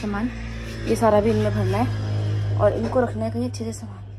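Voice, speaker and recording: Music plays in the background. A woman is the speaker. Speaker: shop owner vlogger. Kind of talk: casual vlog chat. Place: shop. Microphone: phone near.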